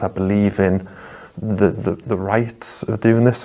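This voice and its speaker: With a Geordie accent, the speaker keeps a fairly even intonation. Noticeable background noise is present. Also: man. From northeast England, Newcastle (Geordie). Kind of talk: testimony. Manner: halting, many repetitions.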